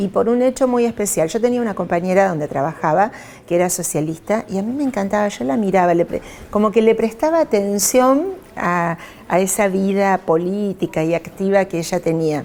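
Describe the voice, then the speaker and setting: A woman with a Rosario accent, medium in pitch, with lively intonation and a fairly quick pace over noticeable background noise. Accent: Rosario Argentine Spanish (rioplatense). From Argentina, Rosario. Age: 60s. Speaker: politician. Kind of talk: interview. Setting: newsroom.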